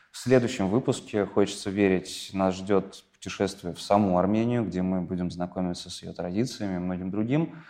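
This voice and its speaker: Hardly pausing, a man with a very deep, low pitch and dark, mellow tone speaks at a moderate pace, his loudness swinging widely while his pitch varies in an ordinary way. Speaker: podcast host. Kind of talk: interview.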